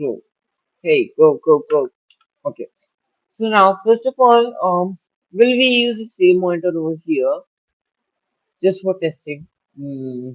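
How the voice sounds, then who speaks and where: The pace is fairly slow. Long pauses come often. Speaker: coding tutorial youtuber. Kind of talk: tutorial.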